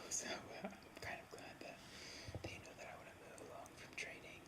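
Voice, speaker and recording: Whispered words from a woman amid noticeable background noise. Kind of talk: casual talk to camera, eating lunch ASMR. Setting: home, recorded while eating. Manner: whispered, soft-spoken.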